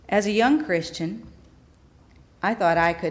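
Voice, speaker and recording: In an American accent, a woman with a fairly low pitch speaks at a moderate pace with lively intonation. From Wisconsin. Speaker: pastor. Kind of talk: testimony.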